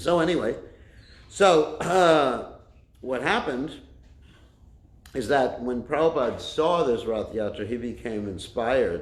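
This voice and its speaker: A man's fairly high voice at a fairly slow pace, with long, frequent pauses and audible room echo. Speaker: Hare Krishna preacher. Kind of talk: religious lecture. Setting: temple class, streamed online. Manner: loud. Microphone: no microphone.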